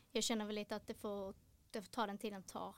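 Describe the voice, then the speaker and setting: A woman's voice, fairly high in pitch. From Helsingborg, Skåne, Sweden. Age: 20s. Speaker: retired footballer. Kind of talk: interview.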